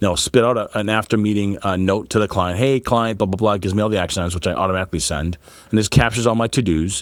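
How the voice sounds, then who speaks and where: A man with an American accent talks at a very fast pace and fairly low pitch. His tone is animated, with ordinary pitch variation. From Boston area, US. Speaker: PR agency founder. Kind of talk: casual podcast interview. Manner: animated, fast.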